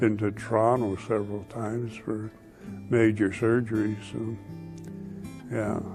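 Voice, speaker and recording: Music plays in the background. The speaker talks at a fairly slow pace with fairly even intonation. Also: man. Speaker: retiree. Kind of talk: interview. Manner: halting.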